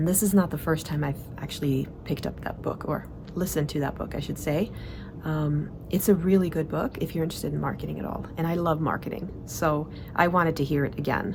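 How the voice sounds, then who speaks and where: A woman speaks at a fairly quick pace in a very deep, low voice with fairly even intonation, over noticeable background noise and audible room echo. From Sweden. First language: Swedish. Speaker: organizing and productivity coach. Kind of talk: monthly vlog report. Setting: outdoors in the mountains. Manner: casual, filler-heavy.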